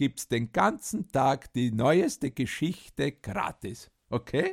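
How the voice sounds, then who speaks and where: Delivery is very slow with lively intonation. The sound is dry and close, with no echo. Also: man. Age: old. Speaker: podcast host and storyteller. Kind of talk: casual chat with grandchild and storytelling.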